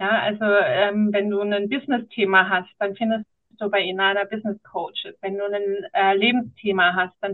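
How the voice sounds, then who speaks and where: This woman has an ordinary speaking voice at medium pitch. She talks at a moderate pace. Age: 40s. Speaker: founder and podcast guest. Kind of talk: casual interview chat.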